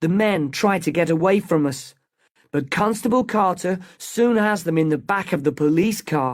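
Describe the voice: A plain reading aloud with ordinary pitch variation, set against a quiet background.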